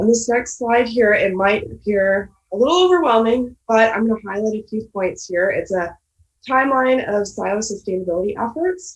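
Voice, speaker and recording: A woman with a fairly high pitch and a somewhat breathy sound uses lively intonation at a moderate pace. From Michigan, Ann Arbor. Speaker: graduate student. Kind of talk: presentation.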